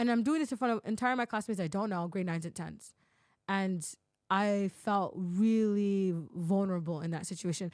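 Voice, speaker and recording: In a very clean recording with a silent background, a woman with a Toronto accent talks in an animated tone at a moderate pace and medium pitch, with ordinary pitch variation. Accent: Canadian English, Toronto. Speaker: podcaster. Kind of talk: casual chat.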